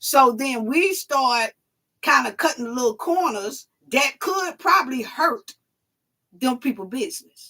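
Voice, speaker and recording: A woman with an American accent projects a raised, high, bright and sharp voice, speaking fairly slowly with lively intonation. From New York and Atlanta/Alabama. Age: 40s. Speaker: YouTube commentary host. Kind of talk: live call-in stream chat.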